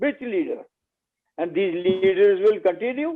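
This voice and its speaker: This man's pitch is extremely high and swings very widely. He talks at a fairly slow pace. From Jammu region, India. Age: 90s. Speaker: retired official and former legislator. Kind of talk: panel talk.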